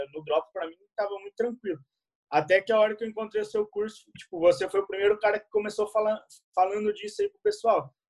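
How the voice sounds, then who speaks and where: In a dry, close sound with no echo, a man talks at a very fast pace in a high pitch, with fairly even intonation and big swings in loudness. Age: 20s. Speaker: e-commerce dropshipper. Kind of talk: podcast interview.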